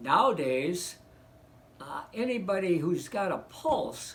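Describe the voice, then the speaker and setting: Amid audible room echo, a man with an American accent speaks very slowly at a high pitch, his pitch swinging very widely. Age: 70s. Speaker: economics commentator. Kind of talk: casual monologue. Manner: halting, many fillers.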